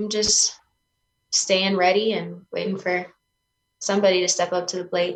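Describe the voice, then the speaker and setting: This woman speaks at a medium pitch and moderate pace, with vocal fry. Her intonation is monotone and flat, broken by long, frequent pauses. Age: 20s. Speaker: mixed martial artist. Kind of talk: interview.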